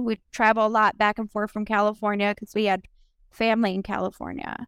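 A plain, everyday voice, a woman with an American accent talks at medium pitch and a moderate pace in a very clean recording with a silent background and a dry, close sound with no echo. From Minnesota. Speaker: domestic abuse survivor and business owner. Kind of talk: personal testimony interview.

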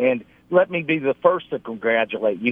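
Lively intonation marks a man's unremarkable speaking voice at medium pitch. He talks at a moderate pace. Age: 50s. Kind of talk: casual chat.

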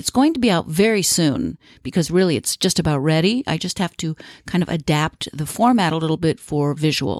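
A woman with an ordinary speaking voice, fairly low-pitched, with lively intonation at a fairly quick pace, the sound dry and close with no echo on a very clean recording with a silent background. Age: 50s. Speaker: aromatherapy podcast host and educator. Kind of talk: solo podcast tutorial. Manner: warm, chatty.

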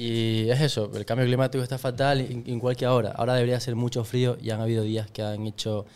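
A man with a normal speaking voice at medium pitch talks at a fairly quick pace with hardly any pauses, fairly even intonation and big swings in loudness. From Ecuador. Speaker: podcast guest. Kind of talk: casual chat.

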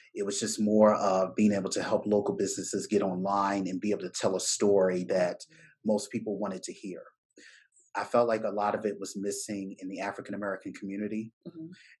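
Very fast speech comes from a man in a Baltimore accent. His pitch is fairly low and his intonation fairly even. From Baltimore, US. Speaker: business owner, tech entrepreneur. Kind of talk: casual interview conversation.

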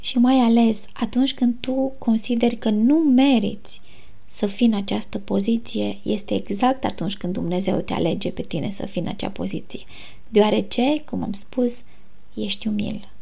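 Her voice fairly high, dark, mellow, and calm, a woman speaks at a fairly slow pace with vocal fry and ordinary pitch variation, with audible room echo around her. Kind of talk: casual faith talk. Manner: soft-spoken. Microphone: recorded quieter than intro.

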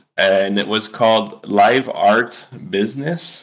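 Speaking with a French accent, a man talks at a medium pitch. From Quebec, Eastern Townships. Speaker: artist and musician. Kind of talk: interview. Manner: hesitant, many fillers.

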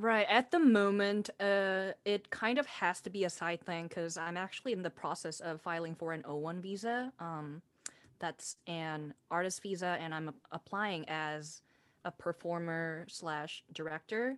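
In a Korean accent, a woman talks fairly slowly at a fairly low pitch with ordinary pitch variation, recorded very cleanly against a silent background with a dry, close sound and no echo. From South Korea. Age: 20s. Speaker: singer-songwriter and theater director. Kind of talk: interview.

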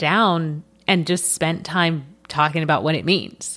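A woman speaks in an animated tone. Noticeable background noise can be heard. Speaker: podcast host and toy industry coach. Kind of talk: solo podcast teaching monologue.

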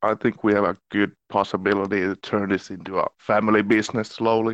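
In a Finnish accent, a man talks at a fairly quick pace with a fairly low pitch, monotone, flat intonation and very even loudness, over a quiet background. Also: dry, close sound with no echo. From Finland. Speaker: actor. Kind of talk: casual chat.

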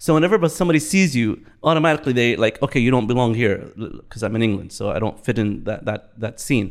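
A man with an Arabic accent talks at a very fast pace and a medium pitch, with hardly any pauses. His intonation is lively, and the recording is very clean with a silent background. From Bahrain. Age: 50s. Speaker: interview guest. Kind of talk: casual interview.

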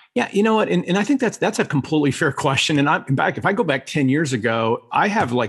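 Speaking at a fairly quick pace, a man talks. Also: quiet background. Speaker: professor and spiritual coach. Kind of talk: interview testimony. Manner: fast.

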